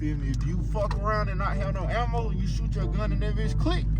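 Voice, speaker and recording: A man is speaking. Music plays in the background. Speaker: YouTuber, car content creator. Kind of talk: comedic skit vlog. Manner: loud; animated.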